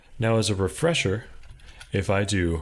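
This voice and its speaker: Over a very clean recording with a silent background, a man with a fairly low pitch talks somewhat breathily at a fairly slow pace. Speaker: programming tutorial creator. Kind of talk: tutorial.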